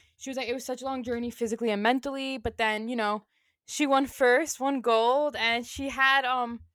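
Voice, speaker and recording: The voice is loud and moves at a fairly quick pace. The recording is very clean, with a silent background. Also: woman. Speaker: sports podcast co-host. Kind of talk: casual chat.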